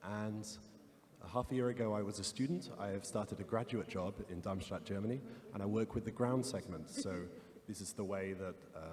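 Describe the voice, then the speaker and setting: With a British accent, a man talks at a fairly quick pace, his fairly low pitch held in fairly even intonation. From UK. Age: 20s. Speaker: ground segment engineer. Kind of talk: panel Q&A. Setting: stage with audience.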